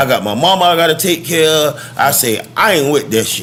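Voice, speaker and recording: A man with an American accent, fairly high-pitched for a man, with ordinary pitch variation and noticeable background noise. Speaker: rapper. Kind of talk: podcast interview answer. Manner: passionate.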